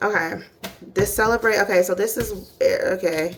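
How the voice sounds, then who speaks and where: There is noticeable noise in the background. Over it, a woman talks fairly slowly. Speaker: tarot reader. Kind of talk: tarot reading monologue. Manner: animated, casual; stumbling over words.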